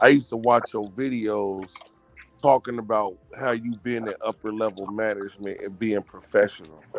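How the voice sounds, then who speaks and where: Over background music, a man with a fairly low pitch speaks in a dry, close sound with no echo. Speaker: caller. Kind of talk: casual chat.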